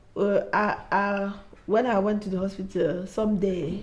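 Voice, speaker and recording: A woman's somewhat breathy, medium-pitched voice in a monotone, flat intonation. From Africa. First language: not English. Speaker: mother sharing mental health experience. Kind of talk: testimony. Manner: halting.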